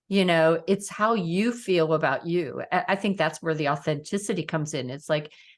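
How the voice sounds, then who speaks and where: Against a quiet background, a woman with an unremarkable speaking voice talks at a moderate pace and a fairly low pitch, with ordinary pitch variation. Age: 60s. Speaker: leadership and public speaking coach. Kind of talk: interview conversation.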